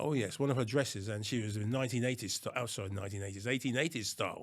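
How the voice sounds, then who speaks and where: In a very clean recording with a silent background, a man talks at a very fast pace. His medium pitch has ordinary variation. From Anguilla, West Indies, then London from age ten. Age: 70s. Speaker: retired police officer. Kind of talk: interview. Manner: hesitant, with frequent fillers.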